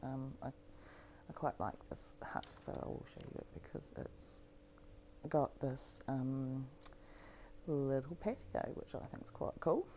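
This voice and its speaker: Someone speaks at a very slow pace with a New Zealand accent. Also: woman. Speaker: gaming YouTuber. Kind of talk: gameplay walkthrough commentary. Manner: casual, hesitant with fillers.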